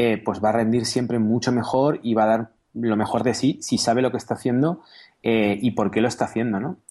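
Over a quiet background, the voice has a dark, mellow tone and a fairly quick pace. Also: man, medium pitch for a man, fairly even intonation. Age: 30s. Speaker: software entrepreneur and programmer. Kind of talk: interview.

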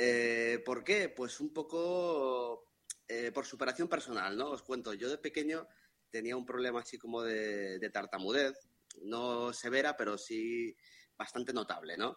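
A medium-pitched man talks at a fairly slow pace, with pitch moving in an ordinary way. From Madrid, Spain. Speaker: listener. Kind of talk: casual chat. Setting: video call.

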